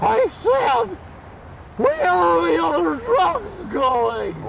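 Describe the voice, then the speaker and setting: A man uses a put-on character voice that comes out squeaky. Loud background noise runs under him. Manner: put-on, silly.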